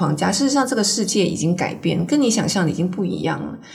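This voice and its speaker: A woman talking at a very fast pace, with audible room echo and noticeable background noise. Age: 50s. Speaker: author and former magazine editor. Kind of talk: interview conversation.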